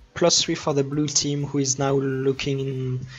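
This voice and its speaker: Speech at a moderate pace plays over music in the background. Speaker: esports commentator. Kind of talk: live commentary. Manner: loud; animated.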